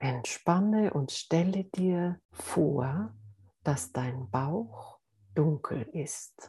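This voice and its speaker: In a very deep, low voice, a woman speaks at a very slow pace with a dark, mellow, calm and soothing tone, somewhat breathy and with very wide pitch swings. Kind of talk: guided meditation. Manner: slow, soft, calm and soothing.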